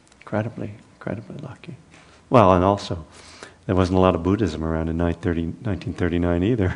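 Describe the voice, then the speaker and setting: There's a man here with a very deep, low pitch. He speaks at a fairly quick pace over noticeable background noise. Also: ordinary pitch variation. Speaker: meditation teacher. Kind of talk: guided meditation and dharma talk. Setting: meditation center with live audience.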